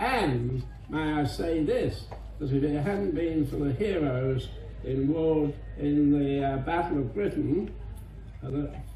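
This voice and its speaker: There is noticeable background noise as a man speaks at a very slow pace. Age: 80s+. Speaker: war veteran. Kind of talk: speech to an audience.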